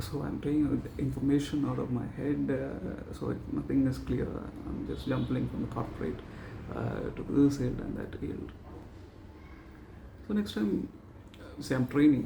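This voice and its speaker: A man talks at a moderate pace with long, frequent pauses. Room echo is audible and there is noticeable background noise. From South India. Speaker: vlogger practising public speaking. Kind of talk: extempore speaking practice monologue. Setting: talking to camera. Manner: halting, many pauses and fillers.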